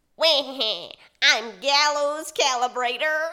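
The speaker puts on a character voice at a high pitch. The delivery comes at a fairly slow pace. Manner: gleeful, mischievous.

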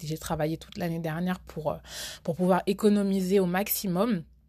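With an unremarkable speaking voice, the speaker keeps a moderate pace and fairly even intonation on a very clean recording with a silent background. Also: woman. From France. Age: 20s. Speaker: podcast host. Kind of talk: casual monologue.

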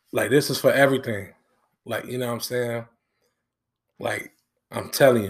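Speaking with an American accent, a man uses a medium pitch, fairly even intonation, and a moderate pace. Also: very clean recording, silent background. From US Midwest. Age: 20s. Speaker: podcast host. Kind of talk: casual solo monologue. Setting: home recording in living room. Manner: casual, lots of filler words; talkative.

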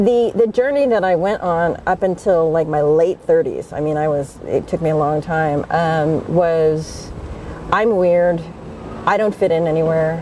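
With an American accent and a fairly low pitch, a woman speaks at a fairly slow pace with ordinary pitch variation. Noticeable background noise sits behind her. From United States. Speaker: author and facilitator. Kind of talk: interview. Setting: outdoors.

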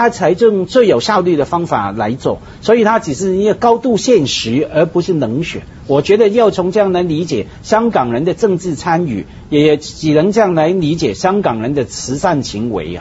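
Noticeable background noise sits under the voice. The pace is moderate. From Hong Kong. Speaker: talk show panelist. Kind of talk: casual chat.

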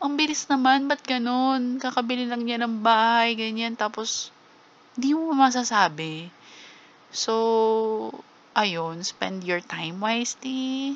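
Very slow speech from a woman, pitched fairly high and with ordinary pitch variation. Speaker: podcast host. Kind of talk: casual solo monologue. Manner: halting, stammering at times.

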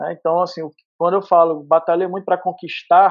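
This man speaks at a high pitch. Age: 30s. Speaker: entrepreneur. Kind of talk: interview. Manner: talkative.

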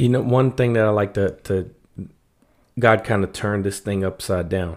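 A man with an American accent and a plain, everyday voice, fairly low in pitch, fairly even in intonation, at a moderate pace, in a very clean recording with a silent background. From US, Washington D.C. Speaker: artist and prison ministry volunteer. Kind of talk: casual interview.

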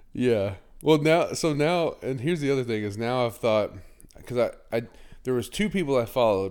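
Lively intonation from a man at a medium pitch, with a moderate pace and long, frequent pauses. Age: 40s. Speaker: podcast host. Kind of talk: casual chat.

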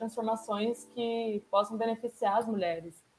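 Over noticeable background noise, a woman speaks at a moderate pace in a fairly high, monotone voice with flat intonation. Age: 20s. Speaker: international relations graduate. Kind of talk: casual discussion panel.

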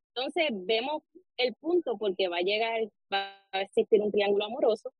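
A woman with a fairly high pitch and ordinary pitch variation has an ordinary speaking voice. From Puerto Rico, Arecibo. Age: 20s. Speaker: novelist. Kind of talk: interview.

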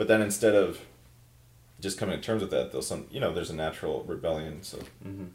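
Talking at a very fast pace with long, frequent pauses, a man with an American accent has a fairly low pitch, ordinary pitch variation and big swings in loudness, with audible room echo. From Minnesota. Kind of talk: casual chat.

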